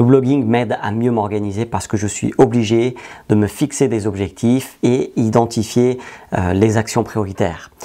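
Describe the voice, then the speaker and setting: At a fairly slow pace, a man with a medium pitch and fairly even intonation speaks in a dark, mellow tone. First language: not French (learned French at 13) (speaking French). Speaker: digital marketing trainer and entrepreneur. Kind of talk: tutorial. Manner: clear, structured delivery.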